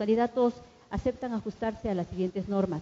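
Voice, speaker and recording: This woman has a medium pitch with ordinary pitch variation. It is a plain, everyday voice. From Ecuador. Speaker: journalist, debate moderator. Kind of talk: formal debate moderation. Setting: stage in a theatre. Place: stage. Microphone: handheld.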